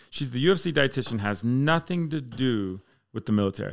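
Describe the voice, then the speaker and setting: In a very clean recording with a silent background, a man uses a plain, everyday voice at medium pitch with lively intonation. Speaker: air force fire chief. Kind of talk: casual chat.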